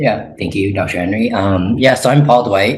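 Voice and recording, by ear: Using a put-on character voice, a man speaks raspily at a fairly low pitch and a moderate pace with ordinary pitch variation.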